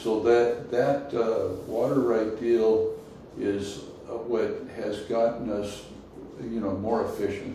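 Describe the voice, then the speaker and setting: A man speaks fairly slowly with an American accent. Noticeable background noise and audible room echo come through. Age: 70s. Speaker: multigenerational farmer. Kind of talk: interview.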